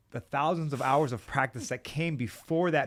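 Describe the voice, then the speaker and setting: Fairly quick and with ordinary pitch variation, a man talks in a plain, everyday voice on a very clean recording with a silent background. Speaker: podcast host. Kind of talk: podcast interview, casual conversation.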